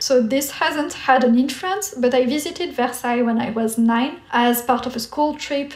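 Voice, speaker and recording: A woman with a French accent speaks at a moderate pace in a high pitch with ordinary pitch variation, with noticeable background noise behind her. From France. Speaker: artist and YouTuber. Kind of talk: casual Q&A chat.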